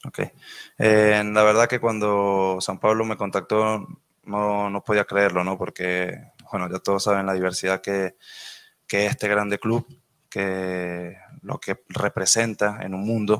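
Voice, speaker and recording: In a dry sound with no echo and a quiet background, a man speaks at a fairly slow pace and fairly low pitch with monotone, flat intonation and long, frequent pauses. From Venezuela. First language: Spanish (speaking Portuguese). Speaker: professional footballer. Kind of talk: press conference answers. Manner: halting. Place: meeting room. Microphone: podium.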